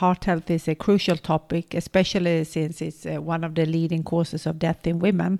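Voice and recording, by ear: Vocal fry runs through a dark, mellow tone that moves little in pitch, delivered at a moderate pace. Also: woman, low pitch for a woman.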